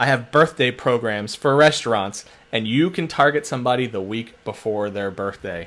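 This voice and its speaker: An animated man with a Philadelphia accent. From Philadelphia, US. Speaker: social media marketer. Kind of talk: webinar-style tutorial. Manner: fast.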